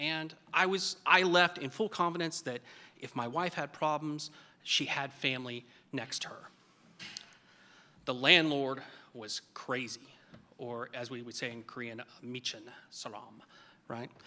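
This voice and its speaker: Speaking in an American accent at a medium pitch, a man with a bright, sharp tone talks at a fairly slow pace, with long, frequent pauses, ordinary pitch variation and big swings in loudness. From Oklahoma. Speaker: army veteran. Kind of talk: storytelling speech.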